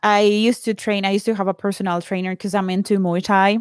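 In a Spanish accent, a woman with a medium pitch speaks at a fairly quick pace, the recording very clean with a silent background and a dry, close sound with no echo. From Colombia. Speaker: podcaster and course creator. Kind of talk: casual chat.

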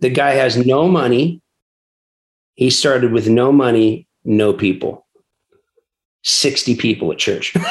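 With an American accent, a man speaks at a very slow pace, leaving long, frequent pauses. His pitch is medium with ordinary variation, and his loudness stays very even. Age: 40s. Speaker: pastor and church planter. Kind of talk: interview conversation.

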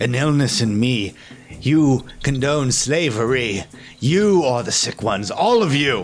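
A man growls in a put-on character voice at a medium pitch and a fairly slow pace, with lively intonation. Clear music plays in the background. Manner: defiant, snarling, desperate.

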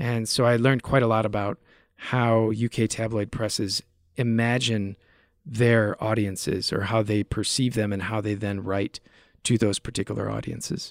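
With an American accent, a man talks at a moderate pace in a medium-pitched, unremarkable speaking voice with fairly even intonation, the sound dry and close with no echo on a very clean recording with a silent background. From US. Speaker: media researcher. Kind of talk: interview.

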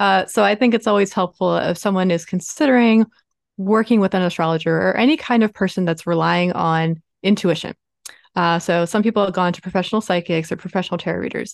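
A woman speaks at a very fast pace in a Baltimore accent, with ordinary pitch variation. The background is quiet. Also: medium pitch for a woman. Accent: Baltimore American. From US, Baltimore, Maryland. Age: 30s. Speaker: business astrologer. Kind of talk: interview. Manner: talkative.

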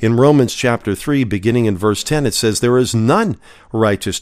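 A man with an unremarkable speaking voice at a medium pitch talks with lively intonation on a very clean recording with a silent background. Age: 50s. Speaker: podcast Bible teacher. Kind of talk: Bible teaching.

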